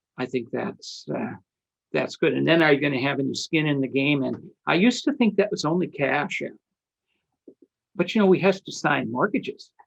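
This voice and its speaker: A man's fairly high voice with vocal fry, lively intonation, a moderate pace and long, frequent pauses. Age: 70s. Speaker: syndication attorney and interview show host. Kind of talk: interview. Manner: halting.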